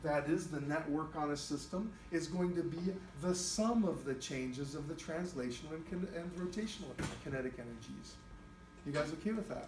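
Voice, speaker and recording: In a room with audible echo and noticeable background noise, a man talks at a moderate pace with a high pitch and ordinary pitch variation. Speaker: high school physics teacher. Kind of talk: classroom lecture.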